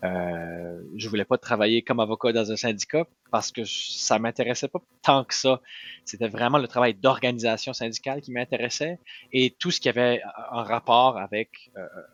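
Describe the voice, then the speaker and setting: Here a man talks at medium pitch and a moderate pace. His pitch variation is ordinary. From New Brunswick, Acadian (Moncton). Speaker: political candidate, union organizer. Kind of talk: podcast interview. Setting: his office. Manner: hesitant with fillers.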